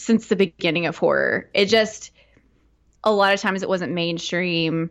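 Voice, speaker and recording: A woman with a Southern US accent speaks at a medium pitch against a quiet background. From Arkansas, Fort Smith area. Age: 30s. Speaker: horror podcaster. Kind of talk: casual chat.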